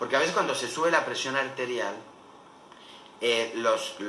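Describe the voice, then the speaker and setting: Through audible room echo and noticeable background noise, a man can be heard speaking. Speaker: doctor. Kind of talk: lecture. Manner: fast.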